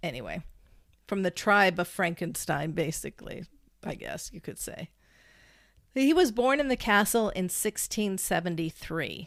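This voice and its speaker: Over a very clean recording with a silent background, a woman at medium pitch speaks at a moderate pace with vocal fry, lively intonation, big swings in loudness and long, frequent pauses. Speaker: podcast co-host. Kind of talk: casual storytelling podcast.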